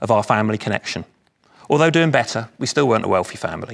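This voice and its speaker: With a London accent, a man is talking. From London area, England. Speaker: speaker at charity anniversary event. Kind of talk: speech.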